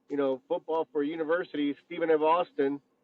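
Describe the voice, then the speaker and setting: This man has an American accent and a fairly high pitch. His pace is fairly quick. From Mexico, then Texas from age six. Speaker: former NFL punter. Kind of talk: casual podcast interview. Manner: animated, relaxed.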